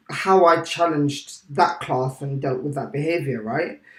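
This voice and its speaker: Someone with a British accent speaks at a fairly slow pace. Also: man. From England. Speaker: teacher. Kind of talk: casual chat.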